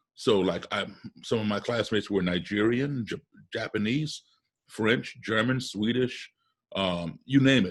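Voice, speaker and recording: A man speaks in a plain, everyday voice with an American accent. His pitch is fairly low, with ordinary pitch variation and a fairly slow pace against a quiet background. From US, childhood partly abroad in embassy postings. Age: 60s. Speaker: musician. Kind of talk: interview. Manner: conversational with self-corrections and repetitions.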